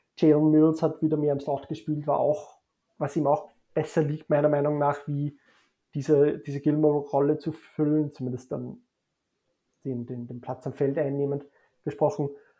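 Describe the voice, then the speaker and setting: A man's fairly high, dark, mellow voice with fairly even intonation and long, frequent pauses, over a quiet background. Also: moderate pace. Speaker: sports blogger. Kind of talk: casual chat.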